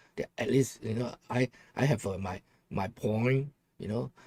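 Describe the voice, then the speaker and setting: The recording of this man is dry and close with no echo, and his dark, mellow tone sits at a medium pitch with ordinary pitch variation. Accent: strong Hong Kong. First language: Cantonese. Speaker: political commentary livestreamer. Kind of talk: casual livestream talk. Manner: halting.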